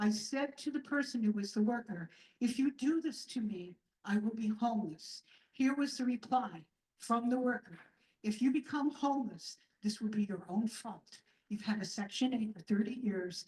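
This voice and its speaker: Somewhat breathy and dark, mellow in tone, a woman's fairly high voice moves at a moderate pace with ordinary pitch variation. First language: not English. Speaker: low-income tenant giving testimony. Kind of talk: testimony. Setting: community event with audience.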